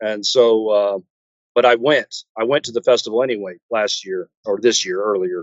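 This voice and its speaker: A man with a Texan accent speaks at a moderate pace, his medium pitch showing ordinary variation. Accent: Texan American. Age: 60s. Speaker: metal guitarist. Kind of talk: interview. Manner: halting, many fillers.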